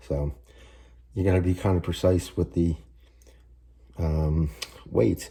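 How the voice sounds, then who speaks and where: A quiet man speaks in a very deep, low voice with a dark, mellow tone and a somewhat breathy quality. His pitch varies in an ordinary way, and he leaves long, frequent pauses. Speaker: home cooking channel host. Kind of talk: cooking tutorial. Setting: home kitchen, early morning. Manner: speaking low and quiet; halting, many fillers.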